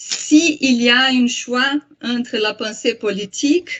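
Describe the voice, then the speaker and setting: A woman's high-pitched voice with a strong Brazilian accent, lively intonation and a very slow pace. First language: Portuguese (speaking French). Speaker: psychoanalyst and translator. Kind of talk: lecture. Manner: halting, many hesitations.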